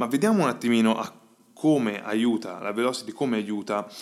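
Here a man speaks at a medium pitch on a very clean recording with a silent background. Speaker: podcast host and agile coach. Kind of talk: solo podcast monologue. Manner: hesitant, with fillers.

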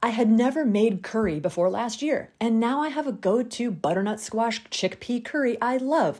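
On a very clean recording with a silent background, a woman's fairly high, somewhat breathy voice carries a dark, mellow tone and lively intonation. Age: 40s. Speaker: podcast host. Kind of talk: solo monologue podcast.

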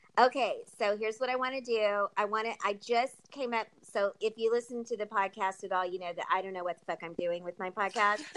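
With an American accent and a normal speaking voice, a woman talks at a fairly quick pace and fairly high pitch, with ordinary pitch variation and hardly any pauses. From California. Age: 40s. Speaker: podcast host. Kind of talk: casual interview chat.

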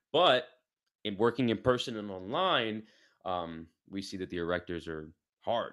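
His intonation is lively. The man talks with an American accent. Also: long, frequent pauses, big swings in loudness. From New York City. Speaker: fitness coach. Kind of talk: casual interview. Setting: video call. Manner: fast talker.

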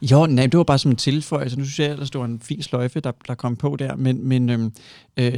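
In a very clean recording with a silent background and a dry, close sound without echo, a man speaks at a moderate pace and medium pitch with a dark, mellow tone and flat, monotone intonation. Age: 30s. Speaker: podcast host. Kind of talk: casual chat.

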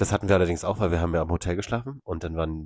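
At a very fast pace, a man with a very deep, low pitch sounds somewhat breathy, with a dry, close sound with no echo and a quiet background. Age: 30s. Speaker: podcast co-host. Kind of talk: casual chat.

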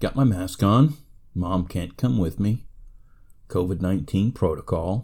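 Speaking with an American accent, a man with a very deep, low voice and a dark, mellow, somewhat breathy tone uses lively intonation at a fairly slow pace, leaving long, frequent pauses. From United States. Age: 50s. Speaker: podcaster. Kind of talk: monologue.

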